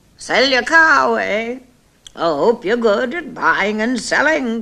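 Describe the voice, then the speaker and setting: This put-on character voice is croaky and fairly high in pitch. It moves at a fairly slow pace. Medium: read story.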